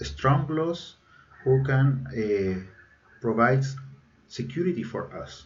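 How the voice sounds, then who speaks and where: A man speaks in a Chilean Spanish accent, somewhat breathy, with lively intonation. Audible room echo surrounds the voice. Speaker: engineering student. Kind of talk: recorded presentation. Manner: halting, many fillers.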